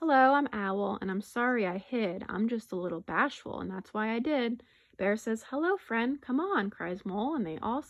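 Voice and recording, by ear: A natural voice reading aloud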